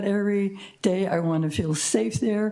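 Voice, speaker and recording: The tone is dark and mellow, with ordinary pitch variation at a fairly slow pace. Audible room echo surrounds the voice. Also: woman. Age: 80s+. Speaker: public commenter, senior resident. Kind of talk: public comment at council meeting. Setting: city council meeting.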